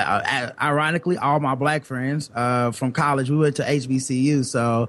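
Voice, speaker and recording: A man speaks with an American accent at a fairly high pitch. His intonation stays fairly even. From US South. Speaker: podcaster.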